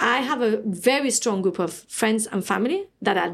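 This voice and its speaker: A woman's ordinary speaking voice at a fairly high pitch, with ordinary pitch variation and a moderate pace, on a very clean recording with a silent background. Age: 40s. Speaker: charity founder. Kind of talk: interview. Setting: at host's home.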